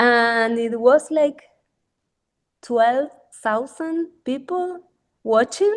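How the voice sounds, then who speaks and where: With a Spanish accent and a high pitch, a woman speaks very slowly with lively intonation and long, frequent pauses. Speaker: artist. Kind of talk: casual chat. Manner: halting.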